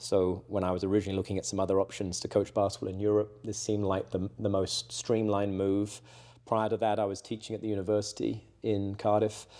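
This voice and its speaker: Speaking with an English accent, a man talks at a very fast pace in a fairly low pitch with a dark, mellow tone. His intonation is monotone and flat, on a very clean recording with a silent background. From southwest England. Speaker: roofing company salesperson, former basketball coach. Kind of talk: casual interview. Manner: hesitant, many fillers and repeats.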